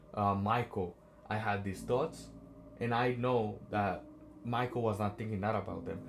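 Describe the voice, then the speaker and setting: Somewhat breathy speech with a non-native accent, a moderate pace and ordinary pitch variation. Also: man. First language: not English. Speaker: self-help vlogger. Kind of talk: motivational talk. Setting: on a train. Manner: animated.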